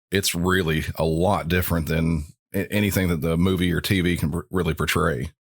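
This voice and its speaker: Over a very clean recording with a silent background, a man with a very deep, low pitch talks at a fairly quick pace in a monotone, flat delivery at very even loudness. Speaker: 911 dispatcher. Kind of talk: interview.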